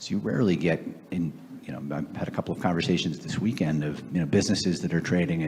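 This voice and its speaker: With an American accent, a man with a very deep, low pitch speaks at a fairly quick pace with ordinary pitch variation, and audible room echo is present. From US Northeast, Boston area. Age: 60s. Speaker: private equity investor and author. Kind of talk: onstage Q&A interview. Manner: hesitant, many fillers.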